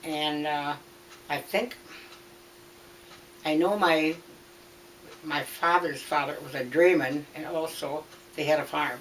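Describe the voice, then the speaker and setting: A woman with a Wisconsin accent speaks at a very slow pace in a very deep, low pitch, with fairly even intonation. Long, frequent pauses break her speech, and background noise is noticeable. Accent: Upper Midwest US (Wisconsin). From Wisconsin, Green Bay area. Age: 90s. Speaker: interviewee recounting her life. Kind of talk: oral history interview. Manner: halting.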